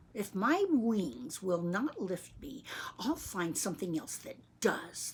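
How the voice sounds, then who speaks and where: Putting on a character voice, a woman speaks at medium pitch and a fairly slow pace. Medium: read story. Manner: earnest, wistful.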